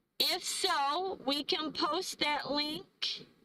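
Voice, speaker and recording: A woman raises and projects her voice. Her tone is bright and sharp. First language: not English. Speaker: van-life travel vlogger. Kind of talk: live stream chat. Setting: live stream. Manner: halting, stumbling over words.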